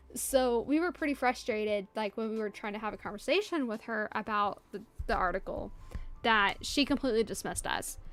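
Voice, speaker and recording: Music plays in the background as a woman with a fairly high voice speaks at a moderate pace. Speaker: art livestreamer. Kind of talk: casual chat. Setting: livestream. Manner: halting.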